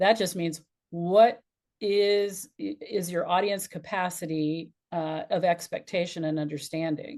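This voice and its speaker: With a quiet background, a woman speaks at a fairly slow pace in an unremarkable speaking voice, medium in pitch, with ordinary pitch variation. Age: 60s. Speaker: business and life strategist, speaker coach. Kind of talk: podcast interview.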